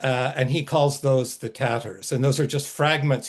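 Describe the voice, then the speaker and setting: Somewhat breathy speech at a moderate pace against a quiet background. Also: man. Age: 70s. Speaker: fantasy author. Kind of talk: webinar author talk. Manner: halting, with many fillers.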